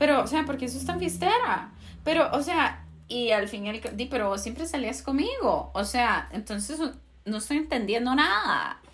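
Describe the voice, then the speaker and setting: A woman keeps a moderate pace, her voice carrying audible room echo. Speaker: podcast co-host. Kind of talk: casual chat.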